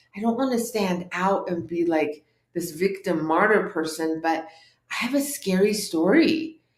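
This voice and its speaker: A woman with a Californian accent, medium in pitch, at a fairly slow pace. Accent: American, California. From Orange County, California (born in Tehran, Iran). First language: Farsi. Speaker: life coach and author. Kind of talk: interview testimony.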